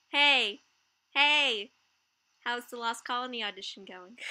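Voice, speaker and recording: A woman speaks in a raised, projected voice with a bright, sharp tone. Her pitch varies in an ordinary way. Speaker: livestream host. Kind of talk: casual chat. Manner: loud.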